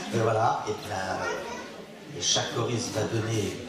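With music going in the background, a man's voice rings with audible room echo. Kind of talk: stage announcement. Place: hall. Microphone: pa.

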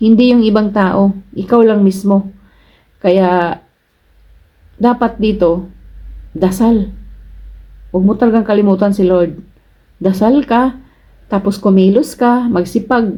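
A woman talks fairly slowly in a dark, mellow, somewhat breathy tone. Her intonation stays fairly even, broken by long, frequent pauses. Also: medium pitch for a woman, very even loudness. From Philippines, Cebu. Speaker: vlogger, overseas Filipino worker. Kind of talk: casual vlog advice. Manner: chatty, laughs often.

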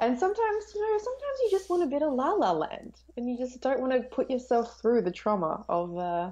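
Talking at a fairly quick pace, a woman has an Australian accent. Her high pitch and dark, mellow tone move through very wide pitch swings. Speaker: film YouTuber. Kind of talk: casual chat. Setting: video call. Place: home room. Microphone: video call.

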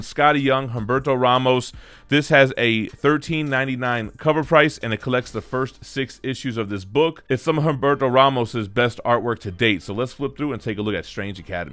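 Delivery moves at a fairly quick pace, using ordinary pitch variation. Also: man. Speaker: comic collector channel host. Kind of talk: product review commentary. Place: home room.

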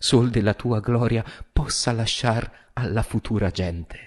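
Against a quiet background, a man with a fairly low voice speaks at a fairly slow pace, somewhat breathy, with ordinary pitch variation. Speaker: stage actor and director. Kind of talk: poetry reading. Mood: solemn, emotive. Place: studio. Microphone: studio mic.

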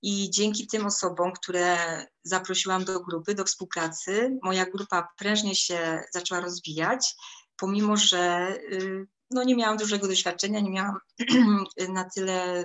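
A woman at a moderate pace with fairly even intonation, over a quiet background. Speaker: network marketing distributor. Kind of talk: testimony. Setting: video call. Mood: calm, positive. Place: kitchen. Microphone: phone near.

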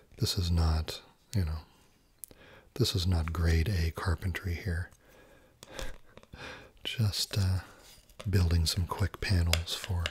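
A soft-spoken man's very deep, low voice, somewhat breathy and fairly even in intonation, at a very slow pace with long, frequent pauses and a dry sound with no echo. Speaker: ASMR creator. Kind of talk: ASMR video. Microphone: studio mic.

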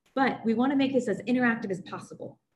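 A woman speaks in a somewhat breathy voice. Light background noise can be heard. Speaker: webinar host. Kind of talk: webinar introduction. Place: home room. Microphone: video call.

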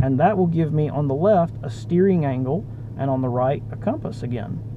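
A man speaks at a moderate pace, his pitch fairly high. His intonation is lively, and background noise is clearly heard.

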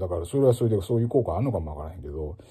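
A man's fairly low, somewhat breathy voice with a Kansai accent, relaxed in tone, dark and mellow, over a quiet background. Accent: Kansai Japanese. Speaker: ocarina player and former music teacher; former music teacher. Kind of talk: casual spoken blog monologue. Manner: relaxed, conversational with many fillers. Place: home room. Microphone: phone near.

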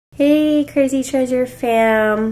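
A woman speaks with lively intonation. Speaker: family vlogger. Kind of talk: casual vlog chat. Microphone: phone near.

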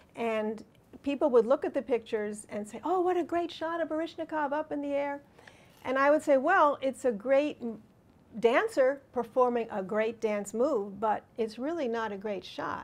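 This woman talks with an American accent, her pitch high. Her pace is moderate. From New York. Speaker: photographer. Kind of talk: lecture. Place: hall. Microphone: podium.

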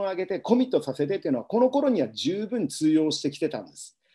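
A man speaks at a high pitch with a dark, mellow tone. His pitch swings very widely against a quiet background. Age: 50s. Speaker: business coach and seminar speaker; business coach, speaker. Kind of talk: live webinar lecture. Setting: home livestream. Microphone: webcam.

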